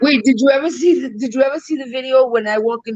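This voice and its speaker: The speaker has a New York accent and an animated tone. The pace is very fast. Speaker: live stream co-host. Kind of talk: casual chat.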